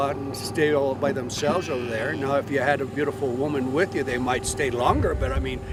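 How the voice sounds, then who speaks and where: In an American accent, the speaker goes at a fairly quick pace with fairly even intonation, with audible room echo and noticeable background noise. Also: man. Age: 70s. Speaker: rancher. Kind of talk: interview. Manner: halting, many filler sounds.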